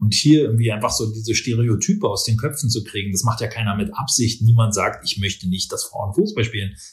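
A man speaks at a fairly quick pace in a somewhat breathy voice, with hardly any pauses. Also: medium pitch for a man, ordinary pitch variation. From Berlin, Germany. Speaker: business professor. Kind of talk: interview. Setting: office.

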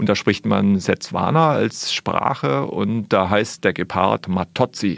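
A man's fairly low voice with vocal fry and lively intonation, very slow in pace yet with hardly any pauses. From Germany, Sinsheim (Baden-Württemberg). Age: 40s. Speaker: wildlife artist and filmmaker. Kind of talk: radio interview.

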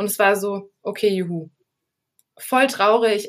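A woman speaks at a fairly high pitch in a monotone, flat intonation. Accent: Düsseldorf. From Düsseldorf, Germany. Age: 20s. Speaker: podcast interviewee. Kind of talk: personal testimony interview.

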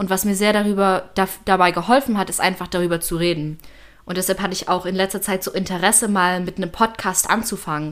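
A woman talks very fast at a medium pitch with fairly even intonation, on a very clean recording with a silent background. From Germany, Leipzig. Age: 20s. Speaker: university student. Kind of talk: personal testimony.

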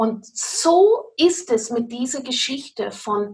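A woman speaks in an English accent. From England, Cornwall. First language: English (speaking German). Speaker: pastor. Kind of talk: interview. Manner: halting non-native German.

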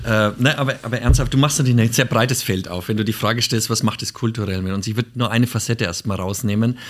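A man rattles along at a very fast pace on a very clean recording with a silent background. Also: medium pitch for a man, fairly even intonation. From Nuremberg, Franconia (Bavaria). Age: 50s. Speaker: former bank executive, self-employed leadership consultant. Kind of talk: casual chat. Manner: halting, many fillers and restarts.

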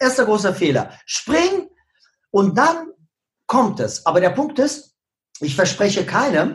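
A man with a non-native accent speaks fairly slowly, his pitch swinging very widely. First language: not German (speaking German). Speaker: social media marketing coach. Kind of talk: podcast interview.

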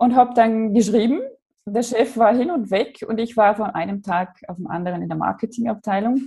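Speaking at a moderate pace with an Austrian accent, a woman has a fairly high, somewhat breathy voice with a dark, mellow tone, ordinary pitch variation and big swings in loudness. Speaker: online branding coach. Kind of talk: casual chat. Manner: careful standard German.

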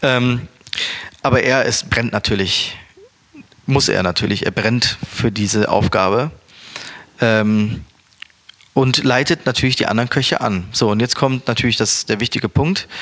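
Long, frequent pauses from a man at medium pitch, with ordinary pitch variation and noticeable background noise. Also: fairly slow pace. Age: 30s. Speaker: chef and restaurant owner. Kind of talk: casual interview. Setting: recorded in Berlin.

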